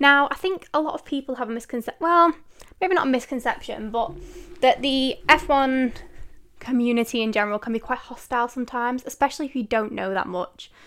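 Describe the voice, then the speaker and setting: A woman with a Mancunian accent talks fairly quickly in an animated tone. Her voice is high, with ordinary pitch variation. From northern England, Manchester. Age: 20s. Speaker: podcast host. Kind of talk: casual solo Q&A chat.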